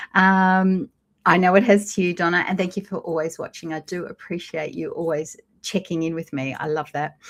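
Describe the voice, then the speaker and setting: A woman's fairly low voice in an Australian accent, with fairly even intonation, in a very clean recording with a silent background. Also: moderate pace. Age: 50s. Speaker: lifestyle vlogger. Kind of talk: casual live chat. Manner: conversational, hesitant with fillers.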